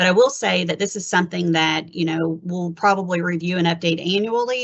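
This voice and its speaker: The voice runs at a very fast pace with vocal fry throughout. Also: woman. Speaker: HR benefits presenter. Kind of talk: webinar presentation.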